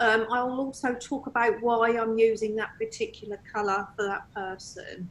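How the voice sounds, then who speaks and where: With an ordinary speaking voice, a woman talks at a moderate pace in a fairly high pitch, her intonation fairly even and hardly any pauses breaking her speech. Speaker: medium and tutor. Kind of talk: interview conversation.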